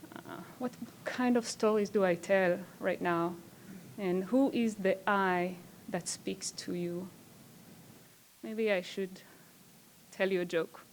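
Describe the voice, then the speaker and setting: In a very clean recording with a silent background, a woman with a non-native accent speaks at a very slow pace, with long, frequent pauses, medium pitch and ordinary pitch variation. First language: not English. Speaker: performance artist. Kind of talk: conference talk. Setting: stage with audience. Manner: hesitant, with filler words.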